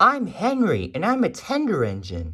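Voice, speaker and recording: This man uses a put-on character voice. His pitch sits high. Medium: read story.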